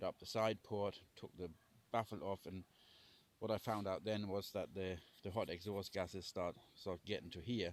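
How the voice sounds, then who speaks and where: A man speaks with a fairly low pitch. His intonation is flat and monotone. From Germany. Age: 60s. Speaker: homesteader. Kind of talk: casual talk to camera. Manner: halting, repeats words.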